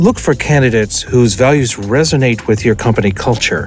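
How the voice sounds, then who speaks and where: Over background music, a man talks at a moderate pace, his medium pitch showing ordinary variation. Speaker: voice actor. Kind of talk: corporate training narration.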